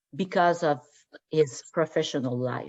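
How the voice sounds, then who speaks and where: A woman speaks with a French accent. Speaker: radiologist. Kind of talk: interview. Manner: halting.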